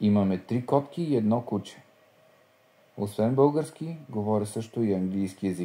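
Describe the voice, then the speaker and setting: This voice has a dark, mellow tone and lively intonation, delivered at a fairly slow pace. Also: man, fairly low pitch for a man. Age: 20s. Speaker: language learning speaker. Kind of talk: scripted reading.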